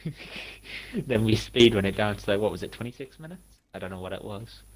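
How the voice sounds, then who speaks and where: This man talks at a very fast pace in a fairly low pitch, with vocal fry. His loudness swings widely. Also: ordinary pitch variation. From northeast England. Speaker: gaming co-streamer. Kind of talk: casual gameplay chat.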